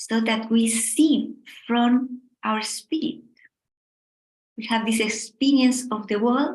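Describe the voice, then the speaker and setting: A woman speaks very slowly in a high pitch. She has a strong Spanish accent. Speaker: meditation teacher. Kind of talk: guided meditation. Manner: soft-spoken.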